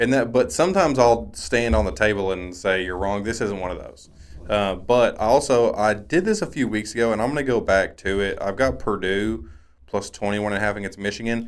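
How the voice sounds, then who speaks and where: Speaking at a fairly quick pace, a man uses a normal speaking voice with a fairly low pitch and ordinary pitch variation. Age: 30s. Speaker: sports podcast co-host. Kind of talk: casual sports chat.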